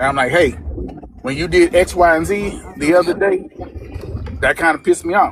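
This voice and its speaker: Long, frequent pauses break up a man's high-pitched speech over noticeable background noise. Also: ordinary pitch variation, moderate pace. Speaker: caller married 21 years giving advice. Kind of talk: live call-in advice. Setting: driving in a car, video call. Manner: calm, even tone.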